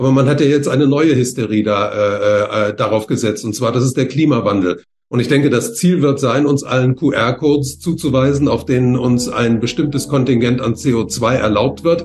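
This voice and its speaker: A man speaks at a moderate pace in a somewhat breathy, medium-pitched voice, with ordinary pitch variation. He hardly pauses, and his loudness stays very even. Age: 70s. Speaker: economist and author. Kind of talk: interview. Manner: hesitant, frequent fillers.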